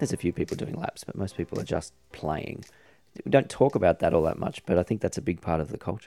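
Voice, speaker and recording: A man's very deep, low voice with a dark, mellow tone, very fast and full of lively intonation, in an Australian accent, with a dry, close sound and no echo. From Australia (Sydney, Epping). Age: 40s. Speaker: podcast host. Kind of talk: interview.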